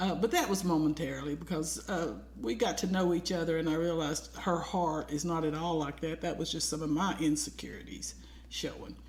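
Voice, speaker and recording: A woman's fairly quick speech amid noticeable background noise and audible room echo. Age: 60s. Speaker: podcast co-host. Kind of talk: casual chat.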